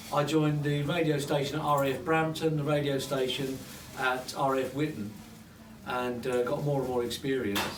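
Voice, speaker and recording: A man's fairly high voice with a southern English accent and fairly even intonation, amid noticeable background noise and audible room echo. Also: moderate pace. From London. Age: 60s. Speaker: radio presenter and mayor. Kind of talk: informal speech to a small audience. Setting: pub office party. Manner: halting, repetitive.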